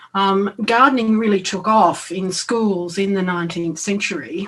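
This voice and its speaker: Someone with an Australian accent speaks at a moderate pace with fairly even intonation. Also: woman. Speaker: education academic. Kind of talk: conference talk. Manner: halting, many fillers.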